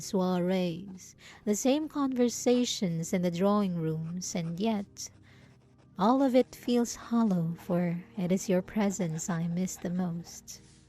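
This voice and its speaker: A soft-spoken woman talks very slowly at a medium pitch with ordinary pitch variation. Her tone is dark, mellow and somewhat breathy. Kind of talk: period-style romantic letter read aloud. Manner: soft, affectionate, intimate.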